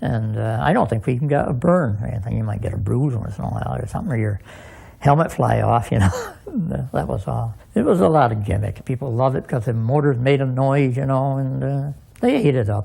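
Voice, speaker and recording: A man talks at a fairly quick pace with a medium pitch and ordinary pitch variation. His tone is dark and mellow, and somewhat breathy. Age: 70s. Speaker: former motorcycle stunt rider. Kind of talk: reminiscing interview.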